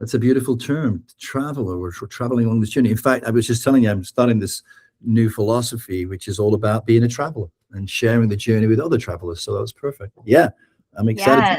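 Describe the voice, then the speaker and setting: Somewhat breathy and medium in pitch, a man rushes along at a very fast pace with ordinary pitch variation. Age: 60s. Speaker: therapist and author. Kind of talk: casual podcast conversation. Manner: hesitant, many fillers.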